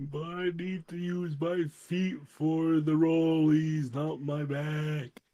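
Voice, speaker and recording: In a put-on character voice at a middle pitch, the speaker goes at a very slow pace with hardly any pauses. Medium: actual play.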